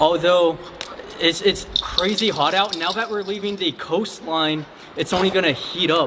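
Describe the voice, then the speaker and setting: Over noticeable background noise, a high-pitched man talks at a moderate pace with ordinary pitch variation. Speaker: travel vlogger. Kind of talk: vlog narration while traveling. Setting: outdoors. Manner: casual; loud.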